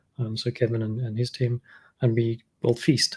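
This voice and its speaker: Somewhat breathy, a man speaks at a medium pitch with monotone, flat intonation. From South Africa. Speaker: machine learning engineering lead. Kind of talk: panel discussion.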